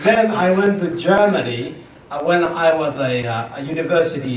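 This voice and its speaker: A man's fairly high voice amid noticeable background noise and audible room echo. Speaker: business consultant and speaker. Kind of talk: lecture. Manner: slow; loud.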